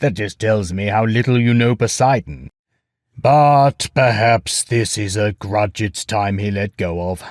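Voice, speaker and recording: A man's put-on character voice, fairly low in pitch and fairly slow, on a very clean recording with a silent background. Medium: read story. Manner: commanding, lordly.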